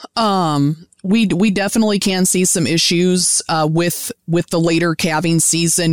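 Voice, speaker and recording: Speaking at a moderate pace, a woman has a normal speaking voice pitched fairly low. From US Midwest, Indiana. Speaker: beef cattle specialist and professor. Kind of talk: interview, expert explanation.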